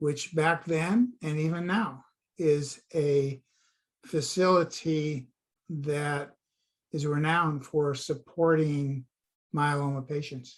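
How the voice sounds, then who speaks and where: Very slow and full of long, frequent pauses, a man with an American accent speaks at a fairly high pitch. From US West Coast, California Bay Area. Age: 70s. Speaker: patient advocate. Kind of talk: interview conversation.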